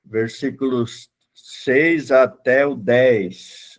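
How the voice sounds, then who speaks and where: A man's voice sits at a medium pitch. The intonation is fairly even throughout. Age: 60s. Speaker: pastor. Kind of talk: Bible class lecture. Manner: casual, halting with fillers.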